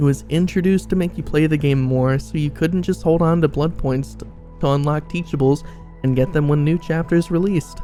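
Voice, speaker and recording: The talking goes at a fairly quick pace. Background music can be heard. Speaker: gaming YouTuber. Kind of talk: casual gaming commentary to camera.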